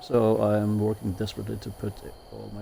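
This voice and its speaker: A man with a Norwegian accent speaks at a moderate pace. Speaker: gaming streamer. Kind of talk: gameplay commentary. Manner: hesitant, many fillers.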